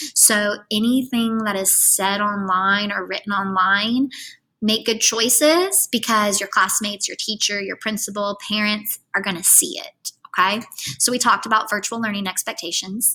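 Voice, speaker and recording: Bright and sharp in tone, a woman speaks at a medium pitch and moderate pace with ordinary pitch variation. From Kentucky. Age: 30s. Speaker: middle school math teacher. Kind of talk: recorded tutorial lesson. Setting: screen-recorded lesson.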